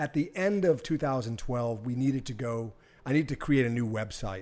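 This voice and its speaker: A man with an American accent and a normal speaking voice talks at a moderate pace and a medium pitch. The recording is very clean, with a silent background. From Boston area, Massachusetts. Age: 50s. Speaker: pizza equipment business owner. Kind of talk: casual interview. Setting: test kitchen.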